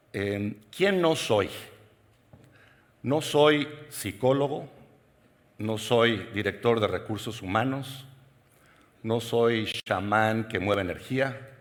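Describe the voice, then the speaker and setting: A man at a medium pitch, very slow, with long, frequent pauses and audible room echo. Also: ordinary pitch variation. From Mexico. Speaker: keynote speaker, executive coach. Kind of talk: conference keynote talk. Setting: stage with audience.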